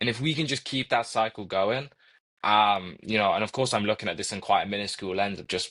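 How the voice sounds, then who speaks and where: A man's fairly low voice with an American accent and ordinary pitch variation, over a quiet background. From Coventry, England. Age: 20s. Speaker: university student and mentor. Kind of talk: podcast interview.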